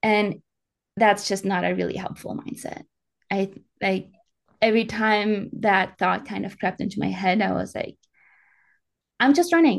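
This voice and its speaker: A woman with a fairly high pitch and vocal fry talks at a fairly quick pace. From Germany, Alpine region. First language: German. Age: 20s. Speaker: professional ultrarunner. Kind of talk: casual interview.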